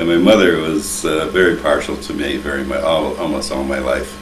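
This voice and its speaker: With noticeable background noise and audible room echo, a man with an American accent speaks at a moderate pace in a very deep, low pitch. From US Midwest, Toledo, Ohio. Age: 80s+. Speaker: interviewee recalling family history. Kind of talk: oral history interview.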